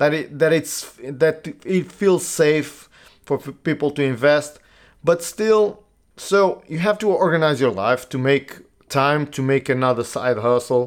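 On a very clean recording with a silent background, a man with a Portuguese accent speaks at a fairly slow pace. His pitch is fairly high, with ordinary variation. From Portugal. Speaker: podcast host. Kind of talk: solo monologue podcast. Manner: halting, many fillers.

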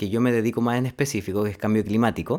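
A man with an unremarkable speaking voice talks at a medium pitch, with ordinary pitch variation. The recording is very clean, with a silent background. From Chile, Linares (Maule region). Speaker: human ecologist, NGO climate director. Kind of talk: casual interview chat.

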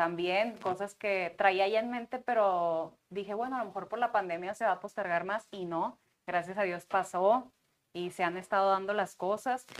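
A woman with a normal speaking voice at a medium pitch, fairly even intonation and a moderate pace, in a quiet background. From Sinaloa, Mexico. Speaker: TV host and performer. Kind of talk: casual chat. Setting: studio.

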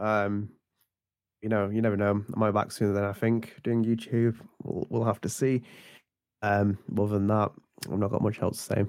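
On a very clean recording with a silent background, a man with a British accent speaks at a moderate pace in a fairly low, monotone, flat voice, his loudness very even and his pauses long and frequent. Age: 20s. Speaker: guest.

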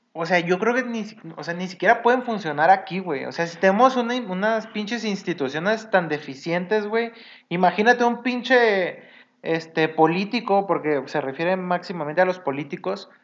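The delivery proceeds at a moderate speed. Pitch shifts in an ordinary way. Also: man, high pitch for a man. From Mexico, Sinaloa. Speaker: podcast co-host. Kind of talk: casual chat.

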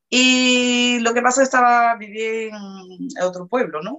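This woman speaks at a fairly slow pace. Her pitch is fairly high, and her intonation is lively. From Brazil, Salvador de Bahía. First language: Portuguese (speaking Spanish). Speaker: interview guest, hotel worker. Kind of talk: interview, personal testimony.

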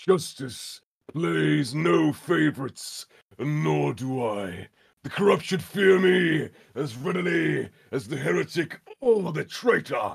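A put-on character voice shouts with very wide pitch swings. The pace is fairly slow. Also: man, fairly high pitch for a man. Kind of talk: video game character voice. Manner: shouting, fervent, righteous.

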